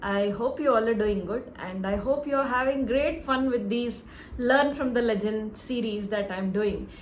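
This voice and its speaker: Audible room echo and noticeable background noise surround a woman whose fairly high pitch varies in an ordinary way. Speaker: singing teacher. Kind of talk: tutorial.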